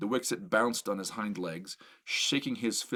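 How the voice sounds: The reading is done in a natural voice.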